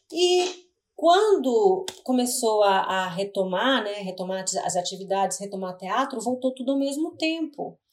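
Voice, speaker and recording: A woman speaks at a fairly slow pace with hardly any pauses. Her fairly high pitch swings very widely. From Brazil, Curitiba. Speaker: actress, singer and playwright. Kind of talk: casual interview.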